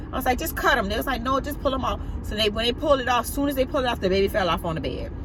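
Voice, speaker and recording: A woman with an American accent speaks very fast at a high pitch, with lively intonation. Noticeable background noise and audible room echo fill the recording. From US South. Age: 40s. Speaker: vlogger. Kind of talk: personal testimony. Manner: halting.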